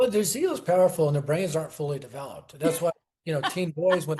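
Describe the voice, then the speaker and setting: A man speaks with an American accent. His pitch is high and his pace fairly quick. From US West, Denver. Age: 60s. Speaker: evangelism ministry founder. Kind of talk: interview. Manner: animated.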